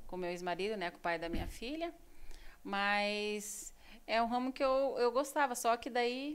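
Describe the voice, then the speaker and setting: A woman with a plain, everyday voice speaks at a fairly slow pace, her fairly high pitch carried by lively intonation. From Brazil, São Paulo state. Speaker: beautician and entrepreneur. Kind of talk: interview. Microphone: too far from mic, may sound quiet.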